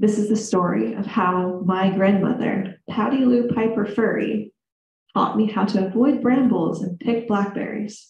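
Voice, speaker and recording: A woman with an American accent speaks at a fairly slow pace, her voice somewhat breathy. Her pitch sits fairly high, with fairly even intonation. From US Midwest, central Illinois. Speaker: storyteller. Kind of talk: live storytelling to audience. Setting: stage with audience in reading room.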